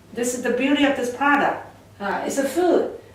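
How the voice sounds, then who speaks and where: A woman is speaking. Audible room echo and noticeable background noise are present. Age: 60s. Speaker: product distributor. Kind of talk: sales pitch. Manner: halting.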